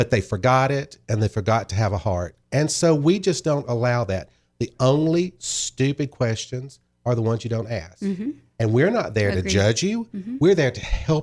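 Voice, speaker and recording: Loudness rises and falls sharply while the pitch swings very widely. The recording is very clean, with a silent background. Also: man, medium pitch for a man. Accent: Southern US. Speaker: wine shop owner. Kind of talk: podcast interview answer. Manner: friendly.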